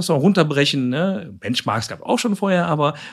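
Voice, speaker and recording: At a fairly quick pace, a man talks with very wide pitch swings on a very clean recording with a silent background. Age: 50s. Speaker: psychiatric nursing director. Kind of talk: casual chat. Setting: meeting room in a clinic.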